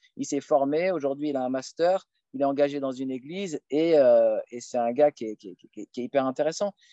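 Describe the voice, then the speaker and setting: A fairly high-pitched man with a dark, mellow tone, ordinary pitch variation, big swings in loudness and a moderate pace, in a dry, close sound with no echo. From France, Paris suburbs. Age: 30s. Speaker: lecturer on Islam. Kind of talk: casual Q&A interview. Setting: outdoors, countryside.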